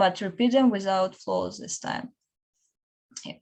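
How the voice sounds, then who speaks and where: A woman with a non-native accent. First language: not English. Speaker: student researcher. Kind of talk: panel discussion.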